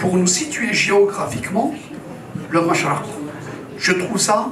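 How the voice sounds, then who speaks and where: Noticeable background noise and audible room echo are present in this recording. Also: man. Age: 70s. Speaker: activist speaker. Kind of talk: formal speech.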